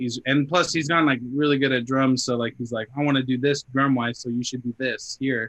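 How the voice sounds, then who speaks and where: In a dry, close sound with no echo, a man with an American accent talks fairly quickly at medium pitch in a monotone, flat intonation. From Arizona. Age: 20s. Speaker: metal band guitarist. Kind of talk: casual interview chat. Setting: podcast interview.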